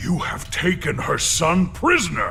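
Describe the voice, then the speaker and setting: A man performs a cartoonish character voice at a fairly slow pace. Clear background noise sits behind him. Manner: formal, stiff phrasing.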